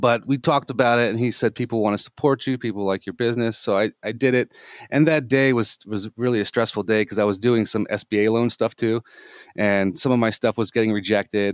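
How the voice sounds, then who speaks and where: A man speaks at a fairly quick pace in a normal speaking voice, his medium pitch and fairly even intonation captured in a dry, close sound with no echo on a very clean recording with a silent background. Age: 40s. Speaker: gaming center owner. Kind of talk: interview.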